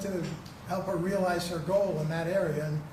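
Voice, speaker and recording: Amid noticeable background noise and audible room echo, a man with an American accent speaks at a high pitch with fairly even intonation. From New Jersey. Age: 80s+. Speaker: trial witness. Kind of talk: courtroom testimony. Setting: courtroom. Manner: halting.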